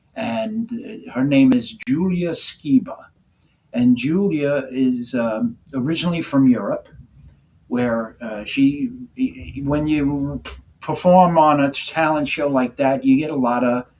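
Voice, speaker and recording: Very slowly, a man speaks at a fairly high pitch with lively intonation. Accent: New York. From New York City. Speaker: music manager. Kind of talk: interview.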